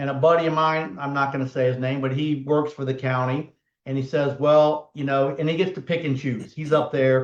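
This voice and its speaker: A fairly high male voice in a Southern US accent, its intonation fairly even. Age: 60s. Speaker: personal injury lawyer and podcast host. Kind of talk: casual chat. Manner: conversational, hesitant with fillers.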